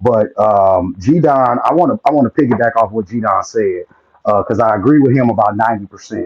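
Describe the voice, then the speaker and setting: A man with a plain, everyday voice speaks at a fairly quick pace and medium pitch, with ordinary pitch variation. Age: 40s. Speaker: panelist. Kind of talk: casual group discussion. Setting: live online audio room.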